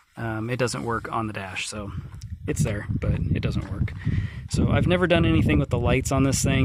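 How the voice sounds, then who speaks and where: With lively intonation and a moderate pace, this man's voice is heard over noticeable background noise and audible room echo. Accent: American. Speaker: vlogger selling his car. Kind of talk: walkaround video. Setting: outdoors. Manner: loud; casual, halting with fillers.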